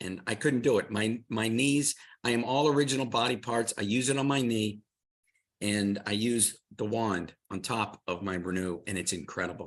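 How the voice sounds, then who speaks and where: Against a quiet background, a man speaks in an ordinary speaking voice at medium pitch and moderate pace, with ordinary pitch variation. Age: 60s. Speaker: tennis pro and product presenter. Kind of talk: product presentation.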